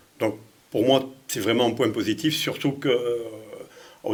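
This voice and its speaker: A man speaks fairly quickly at a medium pitch. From France, Lyon. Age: 60s. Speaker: mayor running for re-election. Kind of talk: interview. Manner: halting, many repetitions and hesitations.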